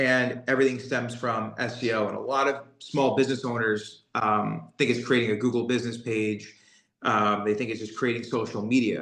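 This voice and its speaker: Audible room echo surrounds a man of medium pitch. His intonation is monotone and flat. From New York (Brooklyn). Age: 30s. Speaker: SEO business owner. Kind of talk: interview.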